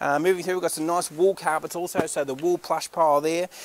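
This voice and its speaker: Speaking very fast with an Australian accent, a man comes through in a dry sound with no echo. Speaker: auctioneer. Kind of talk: sales pitch. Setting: warehouse walk-through on camera. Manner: animated. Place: factory. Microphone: phone near.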